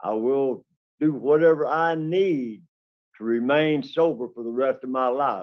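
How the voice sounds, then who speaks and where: Fairly high-pitched man with a Southern US accent, at a fairly slow pace. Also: ordinary pitch variation. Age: 60s. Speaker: parole applicant. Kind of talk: parole hearing testimony. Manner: halting.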